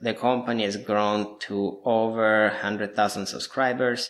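In an Italian accent, a man speaks at medium pitch and a fairly slow pace. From southern Italy (Apulia, near Lecce). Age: 30s. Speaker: digital marketing agency owner. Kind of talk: interview.

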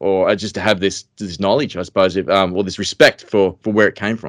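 A man with an Australian accent talks at a very fast pace with fairly even intonation. The recording is very clean, with a silent background. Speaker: fishing podcast host. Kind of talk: casual chat.

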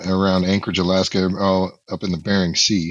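A man's fairly low-pitched voice. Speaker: guest co-host, military veteran. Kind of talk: casual chat. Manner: jokey.

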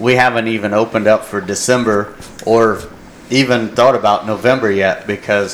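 A man at medium pitch and a moderate pace, flat and monotone, over noticeable background noise. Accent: American. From Indiana, US Midwest. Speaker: hunting guide, Navy veteran. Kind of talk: casual chat.

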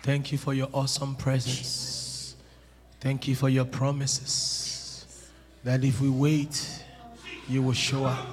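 Over noticeable background noise, a man talks at a very slow pace and medium pitch. His intonation is monotone and flat, and his loudness stays very even.

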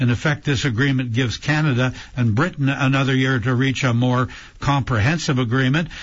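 The pace is moderate and the intonation fairly even. The voice sounds somewhat breathy. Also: man. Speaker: radio host. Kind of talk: radio show hosting. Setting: studio.

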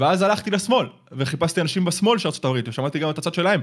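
Delivered at a very fast pace with lively intonation, the speech sits on a very clean recording with a silent background. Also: man. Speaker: YouTuber. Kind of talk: casual chat.

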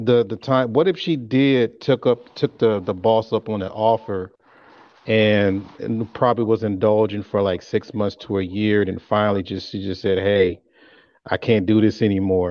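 Speaking in an ordinary speaking voice, a man at fairly low pitch keeps a moderate pace and fairly even intonation. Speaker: panel guest. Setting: video call.

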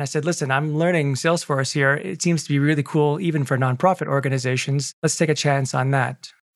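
With a plain, everyday voice, a man speaks fairly quickly at a fairly high pitch, keeping a fairly even intonation. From Quebec, Canada (Montreal). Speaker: Salesforce consultant. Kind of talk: interview. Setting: video call.

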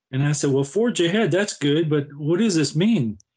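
An unremarkable speaking voice from a man with an American accent, fairly high pitch and ordinary pitch variation. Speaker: retired navy veteran and cancer advocate. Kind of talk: interview.

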